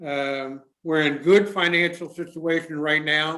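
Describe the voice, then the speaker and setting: A man's fairly high voice in a flat monotone. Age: 70s. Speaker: mayor chairing town commission meeting. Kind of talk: public meeting remarks. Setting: town council meeting, live streamed.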